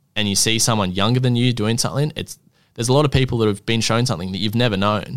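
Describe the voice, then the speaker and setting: On a very clean recording with a silent background, a man with an Australian accent speaks very fast, his fairly low pitch held in fairly even intonation. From Australia, country Queensland. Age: 20s. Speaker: plumber, business owner. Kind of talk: casual interview chat. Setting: studio.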